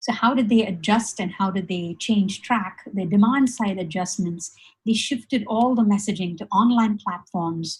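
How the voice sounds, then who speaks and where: A woman speaks at a medium pitch with ordinary pitch variation and a somewhat breathy sound. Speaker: webinar presenter. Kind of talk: presentation. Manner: fast; halting, many fillers.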